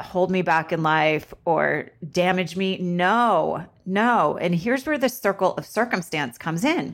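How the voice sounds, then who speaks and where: A woman with an American accent speaks in a normal speaking voice at a fairly slow pace, her pitch medium and her intonation lively. The recording is very clean, with a silent background. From Vermont, US. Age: 50s. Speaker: podcast host, esthetician and spa owner. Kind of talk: solo podcast monologue.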